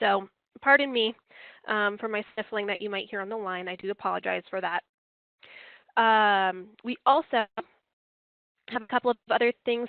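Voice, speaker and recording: At a very fast pace, a woman talks in a fairly high-pitched voice. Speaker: software trainer. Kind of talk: live online training webinar. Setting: conference call. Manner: casual, chatty.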